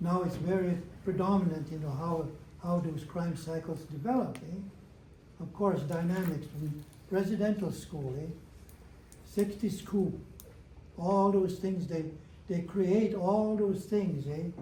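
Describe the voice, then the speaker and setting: Pausing long and often, a man with a high pitch and a dark, mellow tone speaks with fairly even intonation in a room with audible echo. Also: fairly slow pace. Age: 80s+. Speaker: elder. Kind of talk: talk to an audience. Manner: halting, repetitive.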